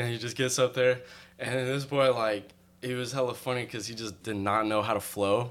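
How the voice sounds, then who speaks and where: A man with an American accent, medium pitch, and monotone, flat intonation at a fairly quick pace. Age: 20s. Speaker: videographer and music video director. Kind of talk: casual chat. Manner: well-spoken.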